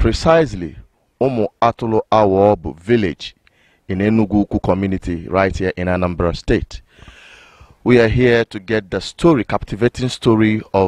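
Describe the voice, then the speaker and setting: A man with an unremarkable speaking voice talks at a moderate pace in a fairly low pitch, with ordinary pitch variation and a dry sound with no echo over a quiet background. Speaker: channel presenter. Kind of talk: news report introduction. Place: open country. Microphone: handheld.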